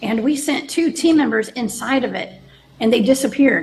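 A woman with a Southern US accent speaks at a moderate pace in a high voice. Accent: Southern US (Georgia). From Georgia, US South. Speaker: remote viewer and paranormal radio host. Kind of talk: podcast interview.

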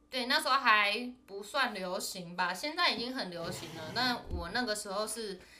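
With audible room echo, a woman talks at a moderate pace in a medium pitch with lively intonation. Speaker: podcast co-host. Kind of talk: casual chat.

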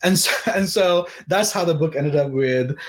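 Noticeable background noise runs under the recording. A man speaks at a fairly high pitch with ordinary pitch variation. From Pakistan, Karachi. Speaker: novelist and attorney. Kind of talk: author interview at live webcast event. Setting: live webcast.

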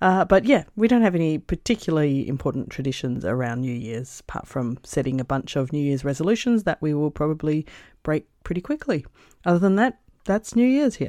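A woman's very deep, low voice with a dark, mellow tone and very wide pitch swings, at a fairly quick pace in an Australian accent, dry and close with no echo over a quiet background. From Perth, Western Australia. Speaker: travel podcaster. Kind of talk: recorded contribution, casual recollection.

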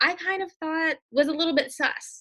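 Projecting a raised voice with a bright, sharp tone, a woman speaks at a moderate pace in an American accent, recorded dry and close with no echo. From US South, Mississippi. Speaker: beauty editor and copywriter. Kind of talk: casual interview chat.

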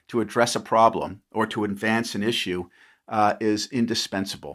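A man with a New York accent at a moderate pace. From New York, Long Island. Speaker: former congressman. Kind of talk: interview. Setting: remote call.

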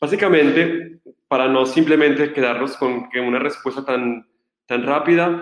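This man's voice sits at a fairly high pitch. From Colombia. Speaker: Franciscan friar, Bible scholar. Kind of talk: lecture.

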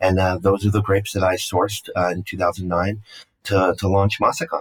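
With an American accent, this man's speech moves at a fairly quick pace. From New York City, Brooklyn. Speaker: winemaker. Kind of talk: interview.

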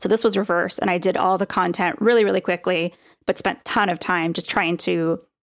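A woman speaks at a fairly quick pace with medium pitch, vocal fry and ordinary pitch variation, recorded very cleanly against a silent background. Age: 40s. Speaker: author and former business owner. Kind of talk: casual chat.

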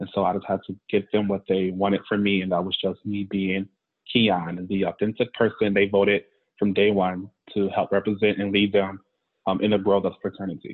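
A man talks at a fairly quick pace with a fairly low pitch. His intonation is monotone and flat. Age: 20s. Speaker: recent graduate, former student leader. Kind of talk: interview.

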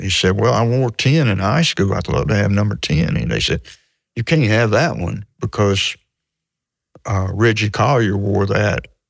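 A man speaks at a moderate pace with a Mississippi accent. His fairly low pitch rises and falls in a lively way. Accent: Southern US (Mississippi). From US South, Mississippi (Hattiesburg). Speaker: sports writer. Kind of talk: interview storytelling. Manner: halting, repeats words.

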